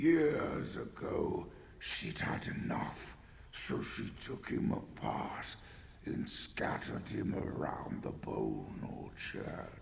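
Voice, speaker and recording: Using a put-on character voice, a man talks at a very slow pace over clear background noise. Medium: game stream. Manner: curt, dry.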